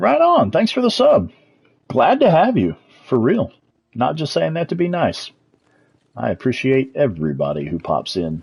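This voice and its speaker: A man speaks with a strong Texas accent. His speech has long, frequent pauses. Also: moderate pace. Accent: thick Texas. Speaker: video game streamer. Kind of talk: live gameplay commentary. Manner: animated.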